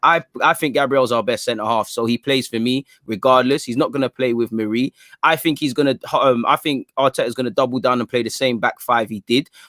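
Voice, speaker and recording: A man talks at a fairly quick pace in an ordinary speaking voice, medium in pitch and with fairly even intonation. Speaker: football fan guest. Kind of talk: podcast guest analysis.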